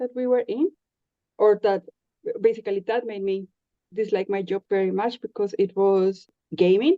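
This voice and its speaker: A woman with a Spanish accent and ordinary pitch variation. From Colombia. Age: 30s. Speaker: podcast guest. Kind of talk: casual interview chat. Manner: hesitant, with frequent fillers.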